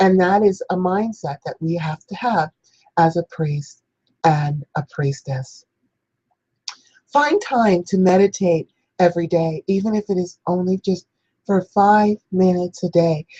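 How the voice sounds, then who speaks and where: A woman's somewhat breathy voice, dark and mellow in tone, with long, frequent pauses. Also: medium pitch for a woman, ordinary pitch variation, dry, close sound with no echo. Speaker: spiritual teacher, priestess show host. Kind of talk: spiritual instruction talk.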